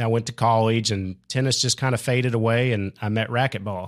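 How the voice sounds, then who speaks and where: A fairly quick-paced man of medium pitch with an American accent. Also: very clean recording, silent background. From Oklahoma. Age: 40s. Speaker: pickleball player. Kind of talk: interview.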